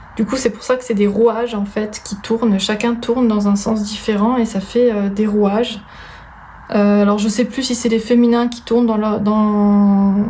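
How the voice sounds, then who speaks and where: Over noticeable background noise and audible room echo, a woman with a fairly high pitch talks at a fairly slow pace in a monotone, flat intonation. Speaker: tarot reader. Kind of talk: tarot card reading.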